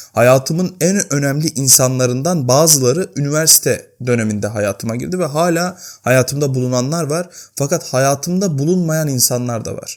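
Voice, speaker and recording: A man talks at a moderate pace with hardly any pauses. The recording is very clean, and the background is silent. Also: fairly high pitch for a man, ordinary pitch variation. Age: 20s. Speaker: YouTuber. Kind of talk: personal vlog monologue. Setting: home, at night. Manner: unscripted, conversational.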